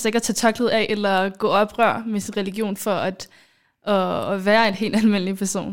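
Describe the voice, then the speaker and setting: Speaking in a normal speaking voice at a fairly slow pace, a woman keeps a fairly high pitch and fairly even intonation on a very clean recording over a silent background. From Somalia. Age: 20s. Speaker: podcast host, student. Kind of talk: casual chat.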